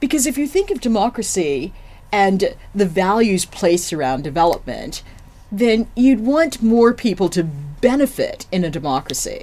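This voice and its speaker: A woman with an American accent speaks at a moderate pace in a dark, mellow tone, with vocal fry and very wide pitch swings. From United States. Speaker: general manager of a development centre. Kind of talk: podcast interview.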